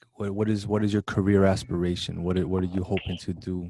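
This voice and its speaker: With an American accent, a man speaks in a fairly low voice with a dark, mellow tone. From Brooklyn, New York. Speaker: college show host. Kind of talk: interview. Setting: video call.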